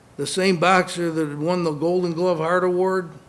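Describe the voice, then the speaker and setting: In a room with audible echo, a man with a high pitch talks at a moderate pace in a monotone, flat delivery. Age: 60s. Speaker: former boxer and concussion awareness speaker. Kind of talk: conference speech.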